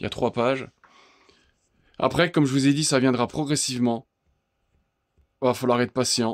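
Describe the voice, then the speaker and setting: Recorded with a dry, close sound and no echo, a man speaks at a medium pitch with fairly even intonation and very even loudness. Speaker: DIY tool video maker. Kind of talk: screen tour tutorial. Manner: fast; halting.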